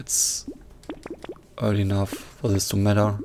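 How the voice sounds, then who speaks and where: Noticeable background noise surrounds a man speaking with a non-native accent. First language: not English. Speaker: gaming youtuber. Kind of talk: gameplay commentary. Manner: halting, pauses mid-sentence.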